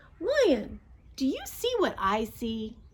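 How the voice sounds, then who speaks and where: A woman's high-pitched, put-on character voice. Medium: read story. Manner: sly.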